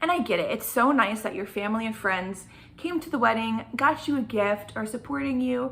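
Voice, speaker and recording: An animated tone at a fairly quick pace, with very wide pitch swings. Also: woman, fairly high pitch for a woman. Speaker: vlogger. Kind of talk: casual chat. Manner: fast.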